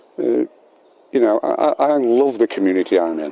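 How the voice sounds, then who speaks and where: There is noticeable background noise behind the man who is talking. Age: 70s. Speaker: local resident. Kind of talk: interview testimony. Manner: halting.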